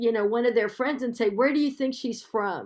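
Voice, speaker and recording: On a very clean recording with a silent background, a woman with an American accent uses an ordinary speaking voice, fairly high in pitch, with fairly even intonation. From United States. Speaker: public health professor. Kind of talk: Q&A after a lecture.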